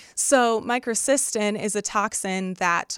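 A woman speaks in a Midwestern American accent with ordinary pitch variation. The recording is very clean, with a silent background and a dry, close sound with no echo. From Northwest Indiana. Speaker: research specialist. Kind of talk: interview.

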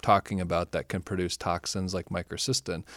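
In a very clean recording with a silent background, a man speaks with a Midwestern American accent. His pitch is fairly low and his pace fairly quick. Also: dry, close sound with no echo. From Michigan. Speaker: environmental science professor. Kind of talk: interview.

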